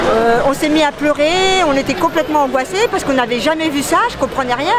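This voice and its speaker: A woman speaks with lively intonation at a high pitch. Crowd noise sits in the background and the room echo is audible. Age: 50s. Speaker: protester. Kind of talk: interview testimony. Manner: hesitant, many fillers.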